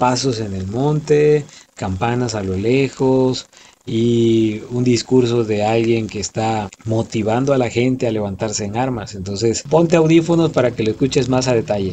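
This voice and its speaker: The voice has a dark, mellow tone and ordinary pitch variation. It moves at a moderate pace over light background noise. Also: man. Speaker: voice-over announcer. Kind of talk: casual talk to listeners. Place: studio. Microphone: phone near.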